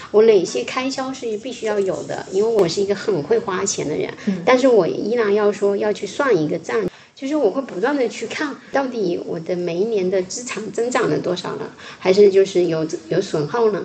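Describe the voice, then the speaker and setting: Against noticeable background noise, a woman speaks at a moderate pace in a medium pitch. Her intonation is lively. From Fujian, China. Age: 40s. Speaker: podcast host. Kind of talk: casual chat.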